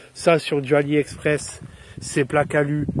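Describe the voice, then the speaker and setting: A man talking at a fairly slow pace. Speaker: motorcycle vlogger. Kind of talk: casual product review. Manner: improvised, chatty.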